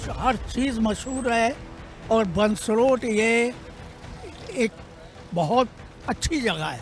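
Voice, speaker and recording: Music plays behind a man speaking at an extremely high pitch with ordinary pitch variation. His pauses are long and frequent. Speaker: passerby. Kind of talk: street interview. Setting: outdoors. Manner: animated.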